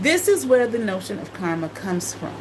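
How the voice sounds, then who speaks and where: Audible room echo surrounds the voice. Noticeable background noise is present too. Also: woman. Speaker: former college teacher and spiritual talk host. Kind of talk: informal livestream lecture. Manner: halting, many fillers and repetitions.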